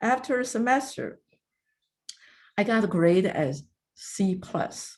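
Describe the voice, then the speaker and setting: A woman's somewhat breathy, medium-pitched voice on a very clean recording with a silent background. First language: not English. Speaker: retired federal agency director. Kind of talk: career advice talk. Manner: halting.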